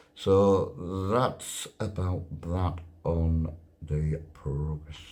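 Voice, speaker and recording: Very deep and low in pitch, a man with a North Yorkshire accent speaks in a dark, mellow tone with fairly even intonation. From Whitby, North Yorkshire, England. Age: 60s. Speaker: wheelchair double amputee on charity push. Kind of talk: casual video diary update. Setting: travel lodge room.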